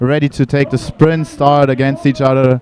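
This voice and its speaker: Someone with a German accent speaks at a moderate pace in a monotone, flat delivery. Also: man. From Germany. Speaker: sports commentator. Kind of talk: live commentary.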